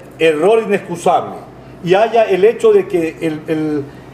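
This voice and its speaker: A man talks at a high pitch, with noticeable background noise behind him. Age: 60s. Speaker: lawyer. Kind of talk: interview. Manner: emphatic, repetitive.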